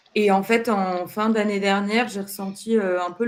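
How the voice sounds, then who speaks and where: A woman at a medium pitch talks at a fairly slow pace in a calm tone and flat monotone, with noticeable background noise behind her. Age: 30s. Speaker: job seeker in career change. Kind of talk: counseling interview.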